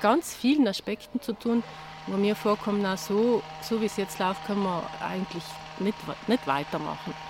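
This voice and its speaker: Through noticeable background noise, a woman speaks at a moderate pace with a medium pitch and lively intonation. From South Tyrol, Italy (Bassa Atesina). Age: 50s. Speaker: herbalist and self-sufficiency gardener. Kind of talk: interview conversation. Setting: outdoors in a garden.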